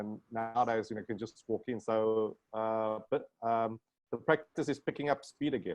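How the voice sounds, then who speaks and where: With a South African accent and fairly even intonation, a man speaks at a moderate pace, in a dry, close sound with no echo. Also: medium pitch for a man. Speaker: plastic surgeon. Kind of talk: casual chat.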